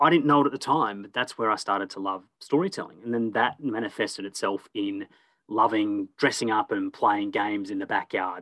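A man with an Australian accent talks at a fairly quick pace in a bright, sharp tone, with a quiet background and a dry, close sound with no echo. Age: 30s. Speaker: storytelling business owner. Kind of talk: casual interview.

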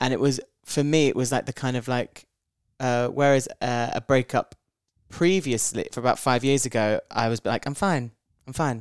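A man's medium-pitched voice, fairly even in intonation, dry and close with no echo. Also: moderate pace. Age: 30s. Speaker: comedian and performer. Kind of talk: casual chat. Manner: halting.

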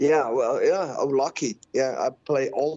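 The speaker is a man. He has a Swiss German accent. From Switzerland. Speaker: musician and record label owner. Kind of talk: casual interview.

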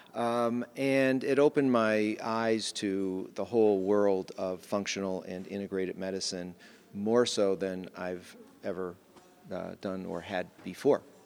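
A man's fairly low voice shifts in pitch in an ordinary way as he talks fairly slowly. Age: 60s. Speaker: physician, OB/GYN. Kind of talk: interview. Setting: live at a conference in Las Vegas.

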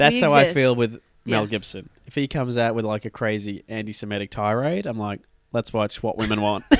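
A man talks with an Australian accent. He moves at a fairly quick pace. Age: young adult, millennial. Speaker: podcast co-host.

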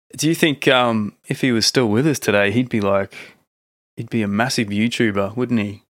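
A man with an unremarkable speaking voice talks at a medium pitch and a moderate pace, with ordinary pitch variation. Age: 30s. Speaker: podcast host. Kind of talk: casual chat. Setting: video call.

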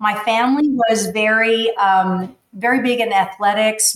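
A woman's fairly high voice in a monotone, flat intonation, with an American accent. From Texas, McAllen (Rio Grande Valley). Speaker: life coach and motivational speaker. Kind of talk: personal testimony in interview.

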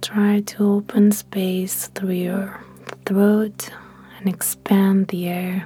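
Noticeable background noise sits under speech delivered at a very slow pace. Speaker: meditation guide. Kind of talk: guided meditation. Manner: slow, soft-spoken and soothing, with long calm pauses; gentle, reassuring, encouraging.

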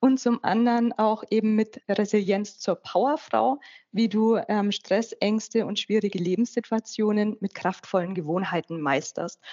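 With a normal speaking voice, a woman speaks at a fairly slow pace and fairly high pitch, with ordinary pitch variation and hardly any pauses. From Upper Franconia, northern Bavaria. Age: 40s. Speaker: life coach and author. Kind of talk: interview.

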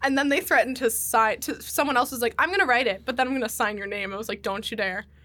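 Speaking with an American accent, the voice moves at a very fast pace with hardly any pauses. Its intonation is lively. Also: woman, high pitch for a woman. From Pennsylvania, US. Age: 20s. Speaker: podcast guest. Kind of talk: casual chat. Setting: studio.

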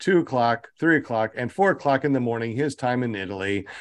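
With a quiet background, the speaking pace is moderate. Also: man. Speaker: podcast host. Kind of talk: live-streamed casual chat. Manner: animated.

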